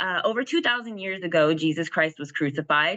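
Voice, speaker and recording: Against a quiet background, a woman speaks at a fairly quick pace in a bright, sharp tone. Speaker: host of a finance group call. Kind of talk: reading a short faith intro.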